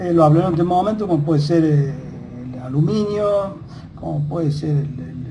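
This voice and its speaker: Both audible room echo and noticeable background noise are present. The talking keeps a moderate pace. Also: man. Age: 60s. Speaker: lecturer on science and history. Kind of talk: monologue lecture. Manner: halting with many fillers.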